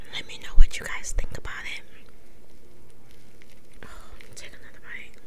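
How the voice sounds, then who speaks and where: Noticeable background noise under speech at a moderate pace. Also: woman. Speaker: ASMR creator. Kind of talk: ASMR eating video. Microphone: phone near.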